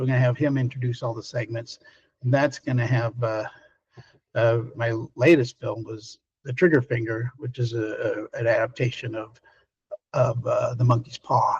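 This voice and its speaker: Somewhat breathy and monotone, a man of medium pitch speaks at a moderate pace with long, frequent pauses and flat intonation. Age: 60s. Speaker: film director. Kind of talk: interview. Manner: halting.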